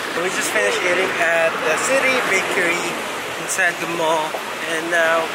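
Loud background noise fills the recording. Over it, a man talks at a moderate pace. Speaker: travel vlogger. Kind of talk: casual vlog chat. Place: street. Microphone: phone near.

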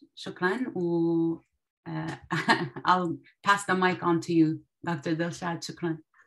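A woman with a fairly low pitch speaks at a very slow pace. Long pauses come often. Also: fairly even intonation, quiet background. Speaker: media officer and webinar moderator. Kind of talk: webinar introduction. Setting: video call webinar. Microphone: video call.

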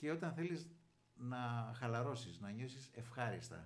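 Ordinary pitch variation from a man at a very slow pace. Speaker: show host. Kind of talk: interview talk. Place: office. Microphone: studio mic.

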